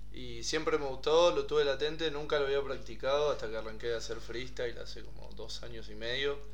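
Fairly quick speech with hardly any pauses, audible room echo and noticeable background noise. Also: man. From Argentina, Buenos Aires. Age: 20s. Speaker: trap artist. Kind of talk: casual interview. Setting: studio.

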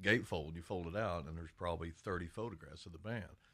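A man with an Appalachian accent speaks at a very fast pace, his pitch very deep and low with ordinary variation. The recording is very clean, with a silent background. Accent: Appalachian Kentucky. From eastern Kentucky, Lawrence County. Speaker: podcast host and country musician. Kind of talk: casual chat.

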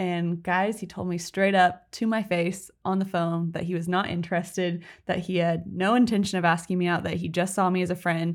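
On a very clean recording with a silent background, a woman with an unremarkable speaking voice talks at a medium pitch. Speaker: podcast co-host. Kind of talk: casual chat.

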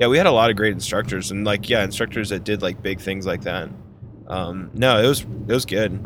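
Speaking at a fairly quick pace with an American accent, a man uses a fairly low pitch and ordinary pitch variation, with audible room echo around him. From northern US. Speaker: podcast host, wedding photographer. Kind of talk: casual chat. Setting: in a car.

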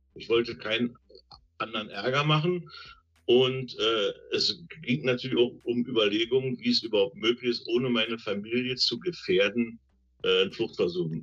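A man talks at a moderate pace in a medium pitch with lively intonation. He has a plain, everyday voice. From East Germany. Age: 60s. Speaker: retired train driver, former GDR escapee. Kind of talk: interview testimony.

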